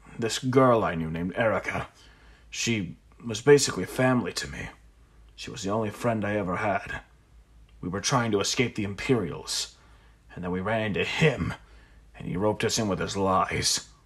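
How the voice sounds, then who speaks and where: Using a put-on character voice, a man speaks in a raspy, fairly low register at a moderate pace, leaving long, frequent pauses. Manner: flat and cold, rising to anger.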